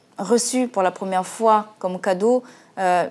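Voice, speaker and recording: Speaking at a very slow pace, a woman with a Central African accent uses a medium pitch and ordinary pitch variation in a very clean recording with a silent background. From Central African Republic. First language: Sango (speaking French). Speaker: singer. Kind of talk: TV interview. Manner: halting, many hesitations.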